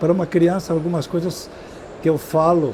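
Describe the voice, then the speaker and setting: A man speaks at a moderate pace with a fairly high pitch. Noticeable background noise can be heard. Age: 70s. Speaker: education professor and speaker. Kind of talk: interview. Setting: trade fair stand. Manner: halting, with repetitions.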